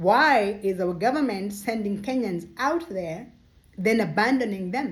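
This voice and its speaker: This woman speaks at a fairly slow pace with a fairly high pitch. Her voice is somewhat breathy, and its pitch swings very widely. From Kenya. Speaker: social commentator. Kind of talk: monologue commentary. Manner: impassioned.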